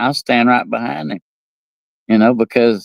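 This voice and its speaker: A man speaks with an East Tennessee accent. The sound is dry and close with no echo, in a very clean recording with a silent background. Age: old. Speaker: talk show host. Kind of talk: casual monologue. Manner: halting, many repetitions.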